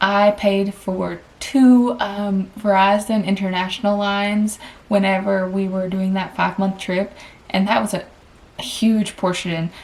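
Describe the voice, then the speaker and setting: A woman with a Southern US accent talks at a fairly slow pace in a medium pitch, her intonation flat and monotone. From Tennessee, US South. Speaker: vlogger and travel nurse. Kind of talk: casual personal finance vlog. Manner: chatty, conversational.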